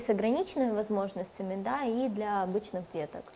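Through noticeable background noise, a woman with a fairly high pitch speaks at a moderate pace with lively intonation. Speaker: TV presenter. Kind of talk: TV interview. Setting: studio. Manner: formal.

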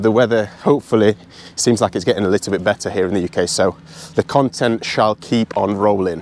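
A man with an unremarkable speaking voice talks at a moderate pace in a fairly low pitch with ordinary pitch variation, the sound dry with no echo and light background noise. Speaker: golf vlogger. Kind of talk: casual vlog chat. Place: open country. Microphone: lapel.

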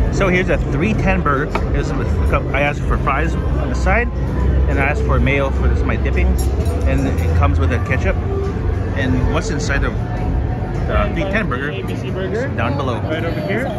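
A man talks at a moderate pace with long, frequent pauses and ordinary pitch variation. Loud music plays in the background, and the sound is dry with no echo. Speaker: vlogger uncle. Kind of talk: casual vlog chat. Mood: cheerful, upbeat. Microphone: phone near.

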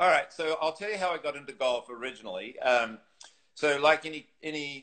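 Against a quiet background, a man speaks with a New Zealand accent. His pace is moderate. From New Zealand, North Island. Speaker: golf teacher and former tour pro. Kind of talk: casual interview. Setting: live video stream. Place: home room. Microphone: video call.

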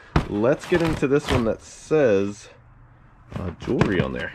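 Loud background noise runs under the recording. A man speaks over it at a fairly slow pace. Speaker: reseller opening a storage unit. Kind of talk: casual vlog chat. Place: garage. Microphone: phone near.

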